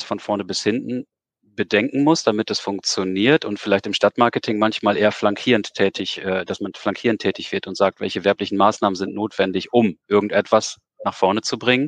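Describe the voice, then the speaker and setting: A man's normal speaking voice, fairly low in pitch, at a moderate pace, dry and close with no echo against a quiet background. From Osnabrück area, northern Germany. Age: 40s. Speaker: event venue manager. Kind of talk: interview.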